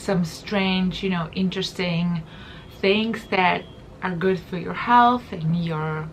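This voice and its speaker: A woman speaks very slowly with a non-native accent, her voice fairly low in pitch and somewhat breathy. Her intonation stays fairly even over light background noise. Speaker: wellness and beauty vlogger; beauty vlogger. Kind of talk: casual talk to camera. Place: home room.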